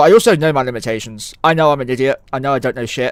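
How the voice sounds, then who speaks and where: Here is a man with a medium-pitched voice. He speaks at a very fast pace. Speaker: video game streamer. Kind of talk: live gameplay stream chat.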